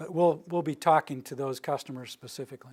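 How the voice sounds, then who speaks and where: In a very clean recording with a silent background, a man speaks with fairly high pitch at a moderate pace. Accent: American. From US Rocky Mountains. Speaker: utility planning director. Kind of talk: lecture. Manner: monotone.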